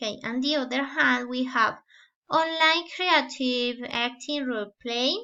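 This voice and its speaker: A woman's high voice in a Spanish accent, at a very slow pace. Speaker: student teacher. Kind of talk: class presentation. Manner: halting, many fillers.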